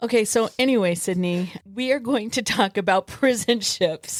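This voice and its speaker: A woman with a plain, everyday voice, fairly high pitch and ordinary pitch variation speaks at a moderate pace with very even loudness, in a dry, close sound with no echo. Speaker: podcast co-host.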